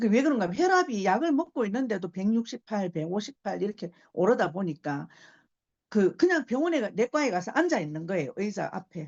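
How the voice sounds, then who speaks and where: A woman speaks at a fairly quick pace in a medium pitch, her voice swinging very widely up and down. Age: 60s. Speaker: invited speaker at business seminar. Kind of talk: testimonial talk.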